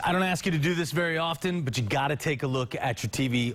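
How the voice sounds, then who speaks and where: At a moderate pace and with ordinary pitch variation, a man talks in a plain, everyday voice. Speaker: TV news anchor and reporter. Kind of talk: TV news anchor read.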